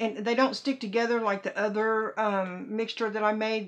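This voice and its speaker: This woman's pitch sits fairly high. She keeps her intonation fairly even. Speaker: doll reborning crafter. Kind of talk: casual tutorial talk to camera. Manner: halting, stumbling over words.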